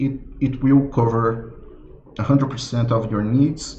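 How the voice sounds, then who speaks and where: With a non-native accent, a man speaks somewhat breathily at a very slow pace amid audible room echo. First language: not English. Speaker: software developer presenting his product. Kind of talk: live product launch presentation. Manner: halting, many fillers and repetitions.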